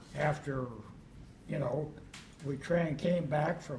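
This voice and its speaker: In an American accent, a man with a fairly high voice speaks at a very slow pace and with fairly even intonation. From Kentucky and Texas. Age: 80s+. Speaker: retired pilot and Navy veteran. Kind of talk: oral history interview answer.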